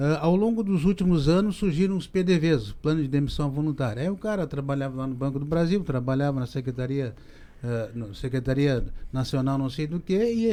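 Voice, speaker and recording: Here a man talks at a fairly quick pace in a dark, mellow tone. His intonation is lively. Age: 60s. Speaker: business professor. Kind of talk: podcast discussion.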